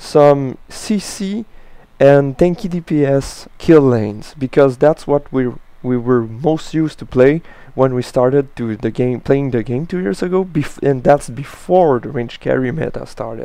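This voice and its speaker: A man speaks at a moderate pace with a French accent. His pitch is fairly high, with ordinary variation. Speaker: gaming commentator. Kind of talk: gameplay commentary tutorial. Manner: halting, with frequent uh and restarts.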